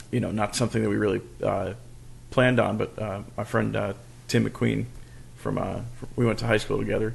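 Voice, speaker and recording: A man with an American accent mumbles at a fairly quick pace. Long, frequent pauses break up his speech. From New York, Hudson Valley. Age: 40s. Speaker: police officer and musician. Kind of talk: casual chat. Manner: mumbling.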